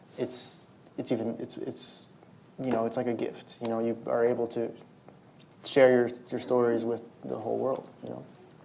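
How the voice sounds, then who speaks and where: A man with a Spanish accent at medium pitch, monotone, flat intonation and a moderate pace, long, frequent pauses, audible room echo and noticeable background noise. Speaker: novelist. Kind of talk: public interview at a library event. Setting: stage with audience. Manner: halting, many repetitions and fillers.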